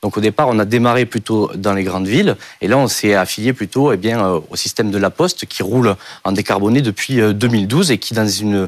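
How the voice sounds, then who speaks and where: Fairly quick, fairly low-pitched male speech with ordinary pitch variation. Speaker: startup founder. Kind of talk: pitch and Q&A. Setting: studio. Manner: fast.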